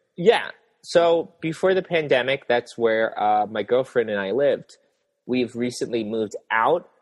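A man speaks in a medium pitch at a fairly slow pace, with lively intonation. His is an unremarkable speaking voice. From rural US. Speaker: fashion YouTuber. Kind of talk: casual interview chat.

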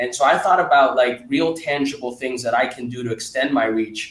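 The man's tone is enthusiastic, his pitch medium. He keeps a moderate pace. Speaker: podcast host, venture investor. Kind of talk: interview. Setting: video call.

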